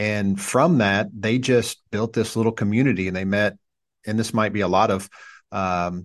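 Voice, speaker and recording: Against a quiet background, a man with a normal speaking voice and fairly low pitch talks at a moderate pace with fairly even intonation. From US Midwest, southern Indiana. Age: 40s. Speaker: pastor. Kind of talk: casual chat.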